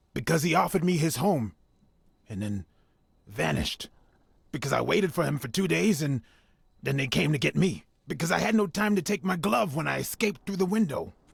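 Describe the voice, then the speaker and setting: A raspy, put-on character voice from a man, fairly high in pitch, fairly quick, with long, frequent pauses. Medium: video game. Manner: hesitant, halting.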